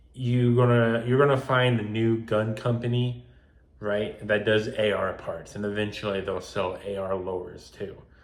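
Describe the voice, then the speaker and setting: Someone mumbles at a moderate pace. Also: man, medium pitch for a man, fairly even intonation. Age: young. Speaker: gun collector. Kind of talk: casual talk to camera. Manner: unedited, some mumbling and stuttering.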